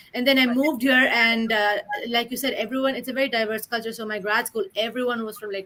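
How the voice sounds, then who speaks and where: A woman's fairly high voice at a very fast pace, fairly even in intonation, over noticeable background noise. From India. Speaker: filmmaker. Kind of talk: interview. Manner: hesitant with fillers.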